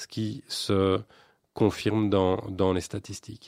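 Very slow and fairly even in intonation, a man speaks with a dark, mellow tone at a fairly low pitch. The background is quiet, and the sound is dry and close with no echo. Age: 40s. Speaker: local politician. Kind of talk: radio interview.

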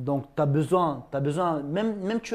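With a normal speaking voice, a man of fairly high pitch talks at a moderate pace with ordinary pitch variation in a very clean recording with a silent background. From Ingushetia, Russia. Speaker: YouTuber and MMA fighter. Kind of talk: casual talk show interview.

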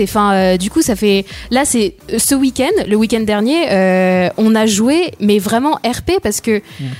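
The woman's intonation is lively, and she speaks at a fairly slow pace. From France, Sarthe. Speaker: radio show guest. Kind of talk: casual radio chat.

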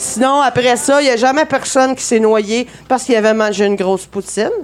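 High female speech at a moderate pace, its pitch varying in an ordinary way. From Saguenay, Quebec. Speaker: comedy segment performer. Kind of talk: live comedic chronicle.

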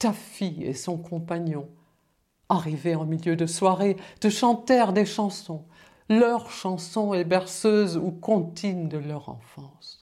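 Pitch varies in an ordinary way as the words come out at a very slow pace. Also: woman, fairly low pitch for a woman. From Germany. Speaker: musician. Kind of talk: reading aloud.

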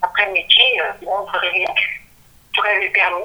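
The woman here talks at a moderate pace. Noticeable background noise runs behind her. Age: 50s. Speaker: author. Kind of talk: interview. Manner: halting.

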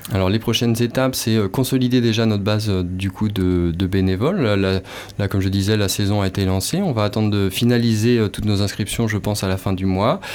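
A man talks at a fairly quick pace in a fairly low pitch. Noticeable background noise runs behind him. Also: fairly even intonation, very even loudness. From western France, Nantes. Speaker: nonprofit project manager. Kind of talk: radio interview.

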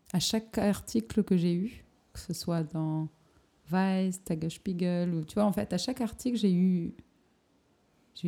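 A woman's fairly low, dark and mellow voice at a fairly slow pace, with long, frequent pauses. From southern France, Perpignan. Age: 20s. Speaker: photographer. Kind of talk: casual interview. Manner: hesitant, many fillers.

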